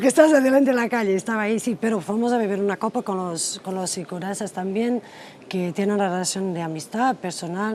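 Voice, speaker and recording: The speaker talks at a fairly quick pace with ordinary pitch variation, over noticeable background noise. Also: woman. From Portugal. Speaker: politician. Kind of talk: interview. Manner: soft-spoken; halting.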